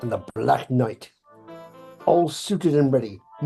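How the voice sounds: It is a natural reading voice set against a quiet background.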